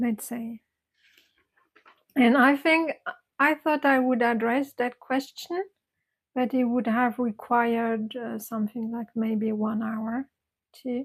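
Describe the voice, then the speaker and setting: A woman with a non-native accent and a high pitch, speaking at a very slow pace with fairly even intonation and long, frequent pauses. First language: not English. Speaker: meditation teacher. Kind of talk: casual chat. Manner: halting.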